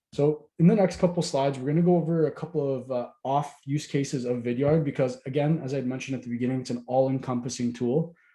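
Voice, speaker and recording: Talking very fast, a man uses a medium pitch, fairly even intonation, and a dark, mellow, somewhat breathy tone. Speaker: software sales representative. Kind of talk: webinar presentation. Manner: casual, conversational.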